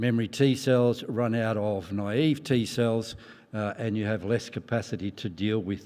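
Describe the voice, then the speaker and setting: With an ordinary speaking voice, a man speaks at a fairly slow pace and medium pitch. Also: fairly even intonation. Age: 60s. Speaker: professor of medicine. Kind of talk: conference talk. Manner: frequent fillers, um and uh.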